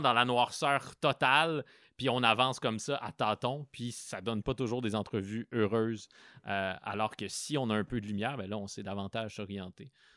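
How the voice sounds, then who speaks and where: A man of medium pitch speaks at a moderate pace in a bright, sharp tone with ordinary pitch variation. The recording is very clean, dry and close, with no echo and a silent background. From Quebec, Abitibi (Rouyn-Noranda). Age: 30s. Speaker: cultural journalist and podcaster. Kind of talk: interview. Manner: hesitant, many fillers and repetitions.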